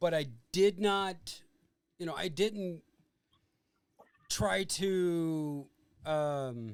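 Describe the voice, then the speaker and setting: A man speaks loudly at a very slow pace, leaving long, frequent pauses. His pitch is high, with ordinary pitch variation. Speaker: podcast host, army veteran. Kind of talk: casual chat.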